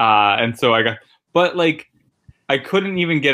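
In a plain, everyday voice with an American accent, a man talks at a fairly quick pace with lively intonation. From Connecticut, New Haven. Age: 30s. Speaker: stand-up comedian. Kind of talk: casual interview chat. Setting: guest bedroom at a friend's house.

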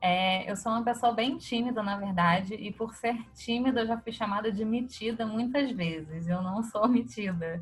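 A woman speaks at a moderate pace with hardly any pauses, her voice somewhat breathy and fairly high with ordinary pitch variation. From Rio de Janeiro (Copacabana). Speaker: fashion creative. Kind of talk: casual interview.

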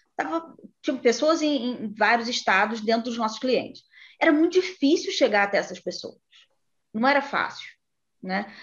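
A woman with a high-pitched voice speaks at a moderate pace, her intonation lively and her pauses long and frequent. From Brazil, interior of Rio de Janeiro state. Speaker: HR executive and psychologist. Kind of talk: interview.

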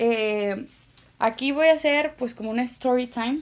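A woman with a Mexican accent talks at a moderate pace in a fairly high pitch, with ordinary pitch variation. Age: 20s. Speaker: paramedic and communication student podcaster. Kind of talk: casual informative monologue. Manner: relaxed, conversational.

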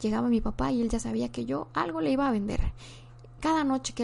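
Speaking at a fairly quick pace, a woman talks with a Mexican accent. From Mexico. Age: 20s. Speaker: podcast host and content creator. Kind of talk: casual monologue. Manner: halting, with frequent repetitions.

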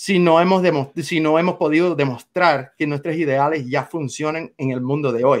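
Against a quiet background, the speaker talks at a moderate pace with a Cuban accent. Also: man. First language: English (speaking Spanish). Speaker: political activist. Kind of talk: interview.

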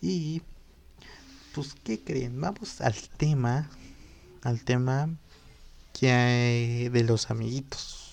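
At a very slow pace broken by long, frequent pauses, a man speaks at a medium pitch with ordinary pitch variation. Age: 20s. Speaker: podcast host. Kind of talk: casual monologue podcast.

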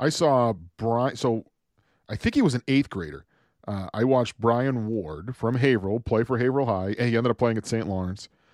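A man's ordinary speaking voice, medium in pitch, at a fairly quick pace with ordinary pitch variation, in a very clean recording with a silent background and a dry, close sound with no echo. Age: 30s. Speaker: hockey podcast co-host. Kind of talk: casual chat.

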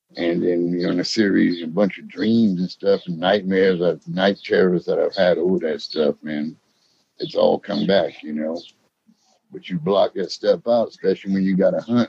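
With a Louisiana accent, a man speaks at a moderate pace in a dry, close sound with no echo. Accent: US South, Louisiana. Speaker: witness. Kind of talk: interview storytelling. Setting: phone call.

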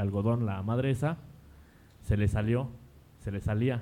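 A man talks with lively intonation in a dark, mellow tone. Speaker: drummer. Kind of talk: casual chat.

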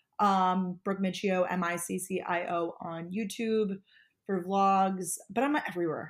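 Over a very clean recording with a silent background, a woman with an American accent uses a normal speaking voice at medium pitch with ordinary pitch variation. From Long Island, New York. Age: 20s. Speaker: lifestyle vlogger and podcast co-host. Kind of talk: casual interview chat.

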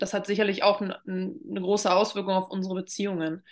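A woman's bright, sharp tone stays monotone and flat against a quiet background. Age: 20s. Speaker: drama therapist. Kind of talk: casual interview.

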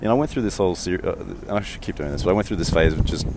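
Amid noticeable background noise, a man with an Australian accent mumbles. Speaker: podcast host, strategy teacher. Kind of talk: solo walking monologue. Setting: outdoors in a park, walking. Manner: monotone; mumbles a bit.

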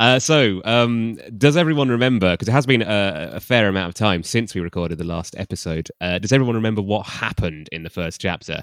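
Very fast speech with lively intonation and hardly any pauses over a quiet background. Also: man, fairly low pitch for a man. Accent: southern English. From England, Cambridge. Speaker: podcast host. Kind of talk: casual comedic chat.

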